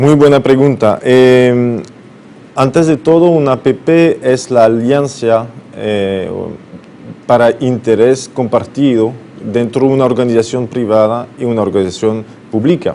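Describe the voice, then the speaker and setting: Noticeable background noise behind a man at medium pitch, ordinary pitch variation and a fairly slow pace. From France, Brittany. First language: French (speaking Spanish). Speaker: business consultant. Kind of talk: TV interview. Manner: halting, many fillers.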